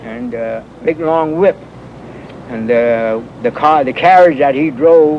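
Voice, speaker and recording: A man's fairly high voice with an American accent, ordinary pitch variation, a very slow pace, long, frequent pauses and noticeable background noise. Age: 70s. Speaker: elderly resident recalling neighborhood history. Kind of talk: oral history interview. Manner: halting, with many fillers.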